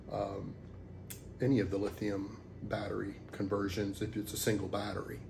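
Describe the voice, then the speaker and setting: Speaking at a moderate pace with long, frequent pauses, a man with a fairly low pitch, ordinary pitch variation and vocal fry is heard in a room with audible echo. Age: 60s. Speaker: DIY hobbyist. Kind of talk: tutorial. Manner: halting, many fillers; casual.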